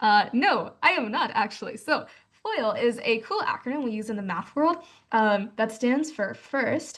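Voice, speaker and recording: Here a woman speaks with an American accent. Her voice is high-pitched and her intonation lively. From US South, Georgia. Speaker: math tutor. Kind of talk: online class lecture. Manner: fast; casual, filler-heavy.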